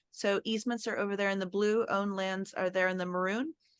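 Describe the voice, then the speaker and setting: At a fairly quick pace, a woman talks with fairly even intonation. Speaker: land trust director. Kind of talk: presentation. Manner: fast.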